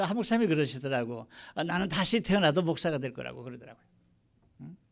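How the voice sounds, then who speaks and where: Recorded very cleanly against complete silence, a man is talking. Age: 70s. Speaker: pastor. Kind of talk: sermon. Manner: hesitant, many fillers.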